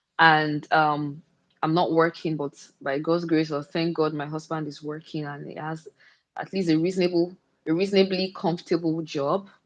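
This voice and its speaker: A woman's very deep, low voice with monotone, flat intonation, big swings in loudness and a moderate pace. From Nigeria. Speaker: content creator and stay-at-home mom. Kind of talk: casual chat. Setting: livestream.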